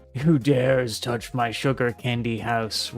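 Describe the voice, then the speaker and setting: Over music in the background, a man uses a raspy, put-on character voice at medium pitch and a fairly slow pace. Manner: roaring, angry, demanding.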